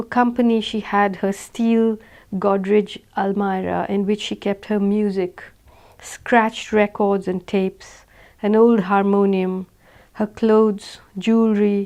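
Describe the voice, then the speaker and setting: A woman with an Indian accent speaks in a medium pitch with a dark, mellow tone and monotone, flat intonation. The recording is very clean, with a silent background. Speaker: author reading own novel. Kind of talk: audiobook reading.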